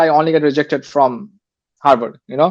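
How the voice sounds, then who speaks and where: Fairly even intonation from a male speaker. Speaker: Stanford graduate, finance professional. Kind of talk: interview. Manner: hesitant, many fillers.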